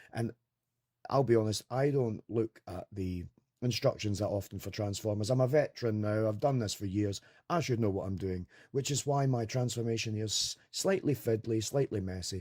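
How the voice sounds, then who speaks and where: With a Scottish accent, a man of medium pitch talks at a fairly quick pace in a dark, mellow, somewhat breathy tone, showing ordinary pitch variation, in a dry, close sound with no echo. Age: 40s. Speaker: toy reviewer. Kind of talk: casual product review. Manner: casual, rambling.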